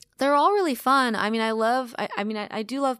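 A normal speaking voice at a fairly quick pace, fairly even intonation, on a very clean recording with a silent background. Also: woman. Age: 30s. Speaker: musician. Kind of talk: casual chat. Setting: hotel.

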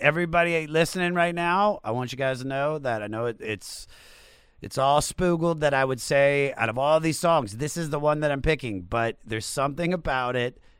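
A man's voice with ordinary pitch variation. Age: 40s. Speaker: podcast host. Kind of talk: casual chat. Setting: video call. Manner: animated.

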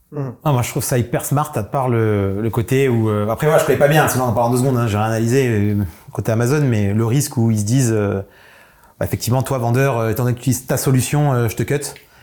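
Speaking at a very fast pace, a man keeps his medium pitch in fairly even intonation. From southern France. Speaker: entrepreneur panelist. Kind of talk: casual business panel chat.

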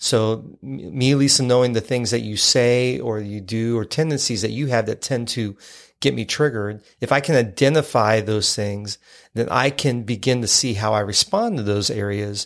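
Speech at a moderate pace in a plain, everyday voice, ordinary pitch variation, very clean audio and a silent background. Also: man. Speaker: podcast host. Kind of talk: casual conversational podcast.

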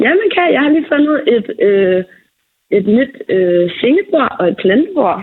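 Pitched high, a woman's voice makes very wide pitch swings at a very slow pace. Her loudness stays very even. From Falster, Denmark. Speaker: friend acting as correspondent. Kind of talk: casual chat.

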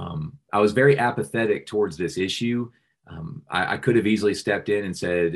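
A man speaks at a fairly quick pace with an American accent over a quiet background. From Central Florida, then Charlotte, North Carolina from age 12. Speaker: pro-life ministry director. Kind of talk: interview with personal testimony. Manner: halting, many filler words.

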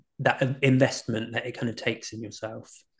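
A somewhat breathy voice with a British accent, fairly even intonation and a moderate pace. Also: man. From UK. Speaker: author and life coach. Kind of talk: casual interview chat. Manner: hesitant, filler-heavy.

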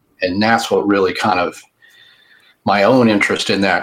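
The speaker has an American accent and a monotone, flat intonation. The pace is moderate. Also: man. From Texas. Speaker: cryptid author and researcher.

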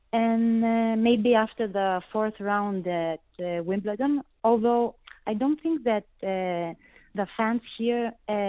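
A woman with a Greek accent. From Greece. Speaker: tennis journalist. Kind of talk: interview. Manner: halting, many filler words.

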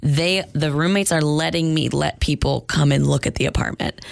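A woman speaks at a fairly quick pace in a very deep, low voice. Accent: American. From New Hampshire, US. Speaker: podcast guest telling a personal story. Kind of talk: casual chat.

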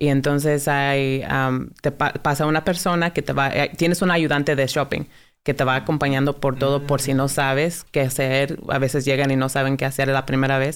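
A woman with a very deep, low pitch talks at a moderate pace in a monotone, flat intonation, with hardly any pauses and very even loudness. The recording is very clean, with a silent background. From US South (Dalton, Georgia). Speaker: food bank benefits specialist. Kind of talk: interview.

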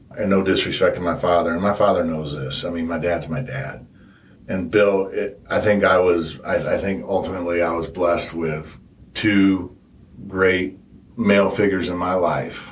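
A man speaks with a very deep, low pitch at a moderate pace. Room echo can be heard. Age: 40s. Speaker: guest sharing stepfamily experience. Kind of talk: casual interview.

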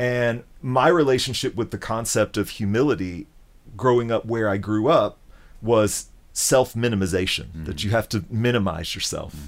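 A man with an American accent and medium pitch, a normal speaking voice at a moderate pace, ordinary pitch variation, and a very clean recording with a silent background. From US South, Memphis. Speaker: guitarist. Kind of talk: casual chat. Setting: in person. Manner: thoughtful.

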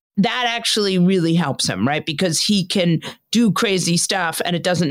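A woman with an ordinary speaking voice talks at a fairly quick pace with ordinary pitch variation. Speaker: political commentator. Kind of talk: casual political discussion.

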